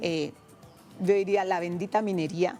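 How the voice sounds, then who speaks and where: A woman with a Colombian Pacific coast accent, fairly even in intonation, music in the background. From Pacific coast of Cauca, Colombia. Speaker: traditional cook and singer. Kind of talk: interview answer.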